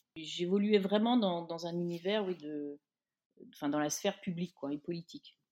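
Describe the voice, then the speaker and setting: A woman's fairly low, dark, mellow voice at a moderate pace, with ordinary pitch variation and a dry, close sound free of echo. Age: 50s. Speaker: magazine editor. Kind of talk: interview. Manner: hesitant, repeats words.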